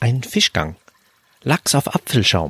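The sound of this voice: In a put-on character voice with a bright, sharp tone and a slightly husky edge, a man speaks at a slow pace with big pitch swings, the sound dry and close with no echo. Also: medium pitch for a man.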